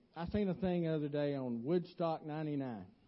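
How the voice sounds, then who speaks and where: Fairly high-pitched voice of a man with a Southern US accent and ordinary pitch variation. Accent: US South. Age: 50s. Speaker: lay preacher. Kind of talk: sermon. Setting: church.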